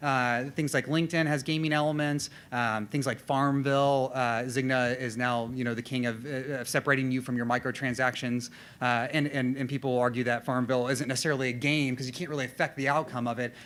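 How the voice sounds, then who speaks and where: A man at medium pitch, very fast, with hardly any pauses and monotone, flat intonation, on a very clean recording with a silent background. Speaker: designer and conference speaker. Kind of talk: conference presentation. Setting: stage with audience. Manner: halting, many fillers and repetitions.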